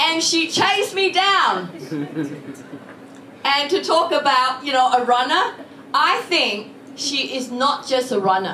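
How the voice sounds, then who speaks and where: A woman with a high pitch uses a raised, projected voice with very wide pitch swings, speaking at a fairly slow pace. Long, frequent pauses, audible room echo and noticeable background noise fill the recording. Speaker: politician. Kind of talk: speech. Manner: loud.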